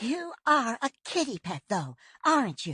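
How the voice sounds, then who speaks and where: A female-sounding voice puts on a character voice with a high pitch. It moves at a moderate pace with very wide pitch swings, over a quiet background. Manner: tired, taunting.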